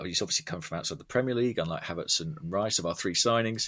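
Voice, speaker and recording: A man with a southern English accent, a bright, sharp tone and very wide pitch swings. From southern England, Watford. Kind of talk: casual chat.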